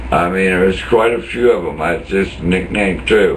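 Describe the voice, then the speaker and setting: A man speaks at a very deep, low pitch with very wide pitch swings and a fairly slow pace. There is audible room echo and noticeable background noise. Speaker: former jail inmate. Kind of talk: angry rant monologue. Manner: animated.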